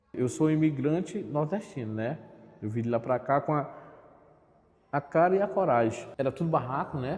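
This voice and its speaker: Over a quiet background, a man with a fairly high, somewhat breathy voice speaks at a moderate pace with lively intonation and long, frequent pauses. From Piauí, northeastern Brazil. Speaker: community resident. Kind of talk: documentary interview.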